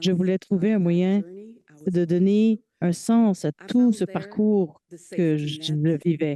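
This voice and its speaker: A woman speaks in a Quebec accent at a medium pitch. Her tone is dark and mellow, and the sound is dry and close with no echo. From Quebec (Sherbrooke). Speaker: patient partner and research coordinator. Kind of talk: conference keynote talk. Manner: hesitant, with filler sounds.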